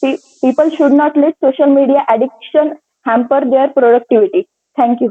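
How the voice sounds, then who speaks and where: Speaking in a Marathi accent at a moderate pace, a woman has a high pitch, a dark, mellow tone and very even loudness. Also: ordinary pitch variation. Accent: Indian English, Marathi. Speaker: interview candidate. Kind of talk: practice lecturette. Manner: halting, many fillers.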